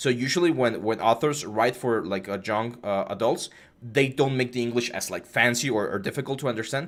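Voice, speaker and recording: A man at medium pitch with a slight Mexican accent, at a fairly quick pace, with ordinary pitch variation. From Mexico. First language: Spanish. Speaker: 3D art instructor. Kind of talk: live stream tutorial with chat Q&A. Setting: live stream. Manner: casual, hesitant with fillers.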